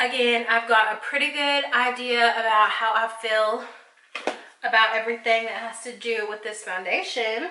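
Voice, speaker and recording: The speaker keeps a moderate pace and a fairly even intonation. Noticeable background noise and audible room echo fill the recording. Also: woman. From Arkansas, US South. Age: 20s. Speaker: beauty vlogger. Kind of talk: makeup tutorial review. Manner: casual, chatty.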